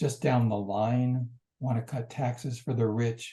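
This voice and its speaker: A man speaks very slowly in a dark, mellow, somewhat breathy tone. His intonation stays fairly even. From United States. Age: 70s. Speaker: journalist and activist. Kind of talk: interview.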